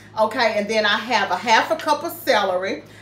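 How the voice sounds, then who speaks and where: Amid audible room echo, a woman talks at a moderate pace. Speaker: home cooking vlogger. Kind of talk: casual cooking tutorial. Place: kitchen. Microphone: camera far.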